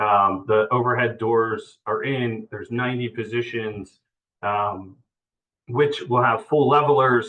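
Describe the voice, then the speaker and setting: This man speaks at a medium pitch with fairly even intonation. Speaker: real estate developer presenter. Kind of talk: project update presentation. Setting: virtual meeting. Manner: halting, many fillers.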